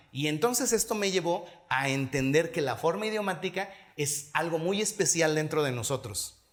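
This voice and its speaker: A man talks at a moderate pace with fairly high pitch and ordinary pitch variation. Audible room echo surrounds his voice. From Mexico, Hidalgo. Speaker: pastor. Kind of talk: sermon.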